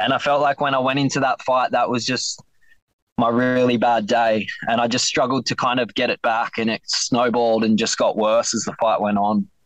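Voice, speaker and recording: With an Australian accent, a man speaks at a moderate pace in a medium pitch with fairly even intonation. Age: 20s. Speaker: MMA fighter. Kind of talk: interview. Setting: phone call from inside his van. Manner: soft-spoken.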